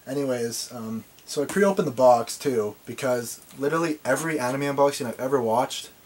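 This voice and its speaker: A man at a very fast pace, with ordinary pitch variation and noticeable background noise. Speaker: anime collector vlogger. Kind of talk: unboxing video. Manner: fast when nervous; halting, filler words. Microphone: video camera mic, maybe poor sound.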